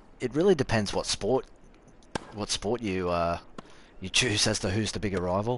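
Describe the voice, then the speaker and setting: Speaking at a moderate pace with an Australian accent, this voice has ordinary pitch variation and leaves long, frequent pauses. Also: man, fairly low pitch for a man. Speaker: gaming streamer. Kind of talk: live gameplay commentary and chat. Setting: live stream.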